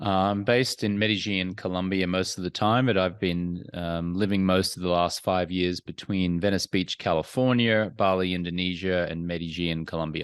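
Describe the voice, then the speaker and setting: A man with an Australian accent and a very deep, low pitch talks at a moderate pace with hardly any pauses. His intonation is fairly even, and the background is quiet. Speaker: entrepreneur and former sports anchor. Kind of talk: interview.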